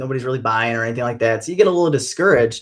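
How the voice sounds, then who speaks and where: A man's medium-pitched voice shows ordinary pitch variation on a very clean recording with a silent background. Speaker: country singer-songwriter. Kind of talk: interview.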